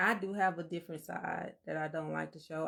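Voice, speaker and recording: A woman is speaking. Her voice is very deep and low. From Alabama. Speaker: podcast co-host. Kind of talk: casual chat. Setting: livestream.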